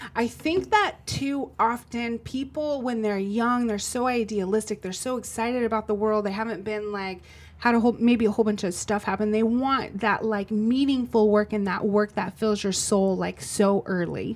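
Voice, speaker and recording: A woman's unremarkable speaking voice at a moderate pace, fairly even in intonation, with hardly any pauses. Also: fairly high pitch for a woman. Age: 40s. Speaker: podcast co-host and business owner. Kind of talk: casual chat.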